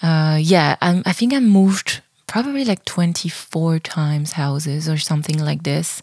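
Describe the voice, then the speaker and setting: A woman's fairly low, somewhat breathy voice with a French accent, at a fairly slow pace and with lively intonation. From southern France. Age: 30s. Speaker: podcast host, dancer and choreographer. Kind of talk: casual monologue.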